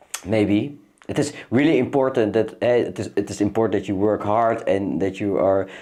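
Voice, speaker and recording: With a non-native accent, this man speaks at a moderate pace in a fairly low pitch, using ordinary pitch variation and a dark, mellow tone. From Netherlands, Amsterdam. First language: Dutch. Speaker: para-equestrian athlete. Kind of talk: casual chat. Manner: halting.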